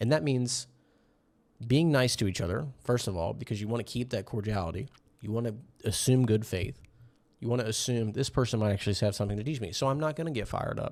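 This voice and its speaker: Very fast, a man talks at medium pitch with ordinary pitch variation. The recording is very clean, with a silent background. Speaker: commentary youtuber. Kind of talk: casual commentary monologue. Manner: animated, at times yelling; casual with filler words.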